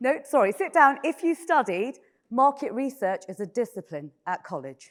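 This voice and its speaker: In a British accent, the speaker's voice moves through very wide pitch swings. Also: woman, high pitch for a woman, moderate pace. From Britain. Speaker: panel moderator. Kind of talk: moderating a conference panel. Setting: stage with audience. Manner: casual, conversational.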